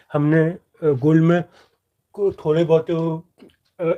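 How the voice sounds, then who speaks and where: The voice belongs to a man and sits high in pitch. It stays flat and monotone throughout. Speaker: stock market trading youtuber. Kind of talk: live stream Q&A on trading. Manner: hesitant with fillers and repetitions.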